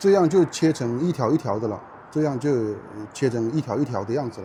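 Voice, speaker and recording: Medium in pitch, a man talks with lively intonation. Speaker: Chinese language teacher. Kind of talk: slow, clear teaching vlog narration. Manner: slow, clear, repetitive.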